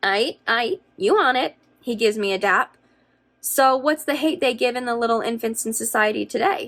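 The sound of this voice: The speaker reads in an unforced reading voice.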